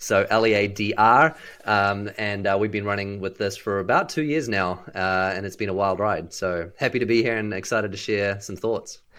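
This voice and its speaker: With a New Zealand accent, a man speaks in a bright, sharp tone at a fairly low pitch, his intonation fairly even. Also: moderate pace. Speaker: business leader. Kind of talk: casual interview chat.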